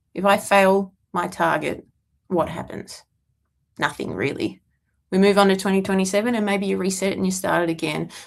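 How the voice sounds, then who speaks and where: Mumbling at a moderate pace, a woman speaks in a medium pitch with fairly even intonation on a very clean recording with a silent background. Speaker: CrossFit coach answering viewer questions. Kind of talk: casual livestream Q&A monologue. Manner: rambling, self-described mumbling.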